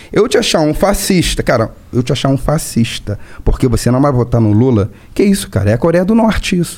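Over noticeable background noise, a man with a Rio de Janeiro accent talks at a fairly quick pace with very wide pitch swings. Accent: Carioca Brazilian Portuguese. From Rio de Janeiro, Brazil. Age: 20s. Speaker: city councilman and police officer. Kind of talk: casual interview chat. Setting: studio.

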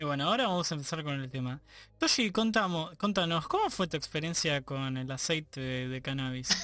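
Talking at a fairly quick pace, a man with a Rioplatense accent has a bright, sharp tone. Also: fairly high pitch for a man, lively intonation. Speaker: podcast host. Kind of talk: casual chat.

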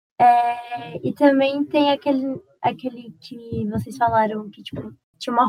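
This woman has an ordinary speaking voice, pitched fairly high, with fairly even intonation. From Uberlândia, Minas Gerais, Brazil. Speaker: podcast guest. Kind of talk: casual chat.

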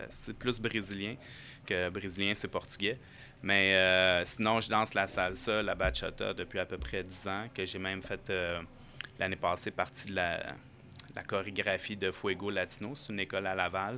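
A bright, sharp tone at a fairly slow pace with fairly even intonation. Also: man, very deep, low pitch for a man. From Quebec, Montreal. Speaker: acupuncturist and firefighter. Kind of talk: casual interview.

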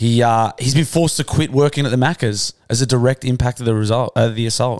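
In an Australian accent, the voice moves at a fairly quick pace with ordinary pitch variation, in a dry, close sound with no echo and a very clean recording with a silent background. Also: man. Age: 30s. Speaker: podcast host. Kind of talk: casual chat. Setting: studio.

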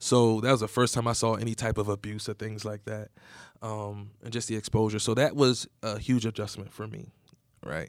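With an American accent and a plain, everyday voice, a man talks at a moderate pace in a fairly low pitch with fairly even intonation, on a very clean recording with a silent background. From southern New Jersey. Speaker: nonprofit executive director. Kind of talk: interview.

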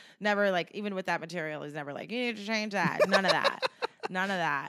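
A woman with an American accent speaks in an animated tone over noticeable background noise. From New Jersey. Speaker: stand-up comedian. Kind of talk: casual interview chat. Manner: animated, laughs often.

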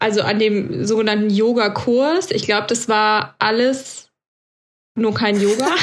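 A woman talks at a fairly slow pace in a fairly high pitch. She has a plain, everyday voice. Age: 30s. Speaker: podcast co-host, trainee yoga teacher. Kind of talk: casual chat.

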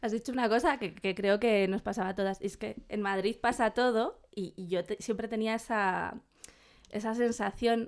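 At a moderate pace, an unremarkable speaking voice keeps fairly even intonation in a very clean recording with a silent background. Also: woman, fairly high pitch for a woman. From Burgos, Spain. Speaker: podcast co-host. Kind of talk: casual chat.

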